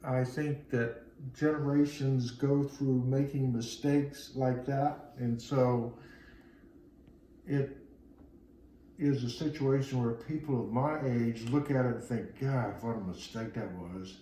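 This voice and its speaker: A man at medium pitch, very slow in pace, with audible room echo. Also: fairly even intonation. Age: 60s. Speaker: Vietnam-era interviewee. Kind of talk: interview. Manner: halting.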